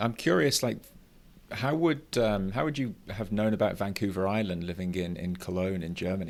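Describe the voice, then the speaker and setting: In a normal speaking voice, a man moves along rather quickly. His voice sits fairly low, with usual pitch movement. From outside Canada. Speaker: podcast host. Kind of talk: podcast interview.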